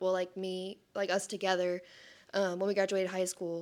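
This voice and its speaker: The recording is very clean with a silent background, and the speech keeps a moderate pace. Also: woman. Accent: Texas. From Texas, Sherman. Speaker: speech therapy worker. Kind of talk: testimony. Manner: casual, filler-heavy.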